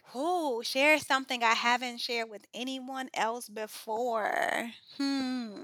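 A raised, projected voice with a bright, sharp tone carries an American accent at a very slow pace. Its loudness swings widely. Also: woman, high pitch for a woman, ordinary pitch variation. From US Midwest, South Side of Chicago. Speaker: chemist and education nonprofit founder. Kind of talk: interview conversation.

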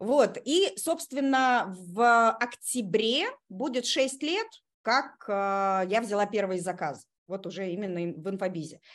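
At a very slow pace, a woman speaks with lively intonation and a medium pitch. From Russia, Kazan (Tatarstan). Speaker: online school owner, technical specialist trainer.

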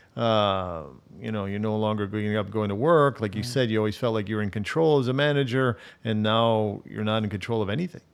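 An unremarkable speaking voice comes at a fairly quick pace with ordinary pitch variation in a very clean recording with a silent background. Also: man, fairly low pitch for a man. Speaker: pastor, podcast host. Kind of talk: interview, conversational.

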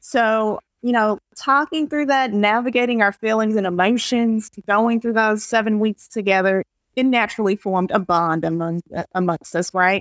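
A woman with an unremarkable speaking voice talks at a moderate pace, her pitch fairly high with ordinary variation and her loudness very even. The sound is dry and close with no echo, over a quiet background. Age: 30s. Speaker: support group founder. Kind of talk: interview.

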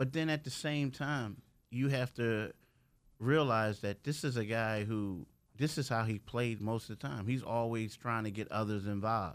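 On a very clean recording with a silent background, a man speaks in a plain, everyday voice at a medium pitch with ordinary pitch variation. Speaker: sports beat writer. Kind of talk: casual studio interview.

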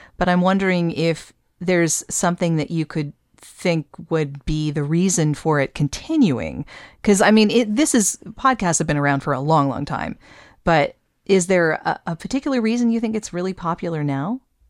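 In a dry, close recording with no echo and a silent, very clean background, a woman with an unremarkable speaking voice talks at a moderate pace, her pitch fairly low and her intonation lively. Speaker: podcast host and voiceover artist. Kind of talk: interview conversation.

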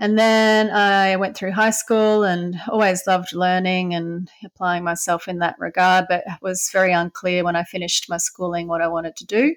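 A woman with an Australian accent speaks with fairly even intonation and hardly any pauses on a very clean recording with a silent background. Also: medium pitch for a woman, moderate pace. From Brisbane, Australia. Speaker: veterinarian. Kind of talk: interview.

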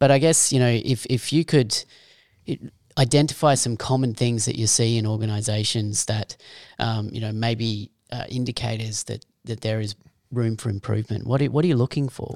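A man with an Australian accent speaks at medium pitch and a moderate pace, his intonation fairly even, on a very clean, dry, close recording with a silent background and no echo. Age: 40s. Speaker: podcast host. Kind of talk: interview.

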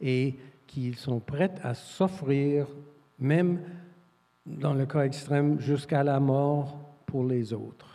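Fairly high in pitch, a man speaks in a dark, mellow tone. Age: 70s. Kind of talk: panel discussion.

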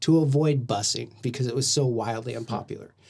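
The recording is very clean with a silent background. A man speaks at a medium pitch and moderate pace, somewhat breathy, with ordinary pitch variation. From Oklahoma, Del City. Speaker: podcast guest. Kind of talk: casual chat.

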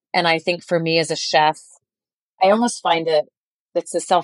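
A woman's fairly low-pitched voice at a fairly quick pace. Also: long, frequent pauses, very even loudness. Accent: American. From Colorado. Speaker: chef. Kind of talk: casual chat.

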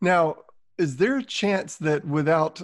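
A man with a Southern US accent speaks at a fairly slow pace. His pitch variation is ordinary, and the sound is dry and close with no echo. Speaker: sales podcast host. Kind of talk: interview.

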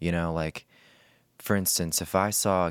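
A man speaks at a moderate pace in a very deep, low voice, with fairly even intonation and a dry, close sound with no echo on a very clean recording with a silent background. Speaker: comedian. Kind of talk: casual chat.

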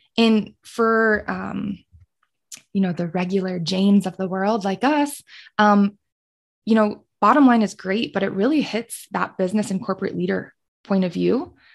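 An unremarkable speaking voice, this woman's is medium in pitch with ordinary pitch variation, in an American accent. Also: moderate pace. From Colorado. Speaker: sustainability specialist and former podcast co-host. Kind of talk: casual interview.

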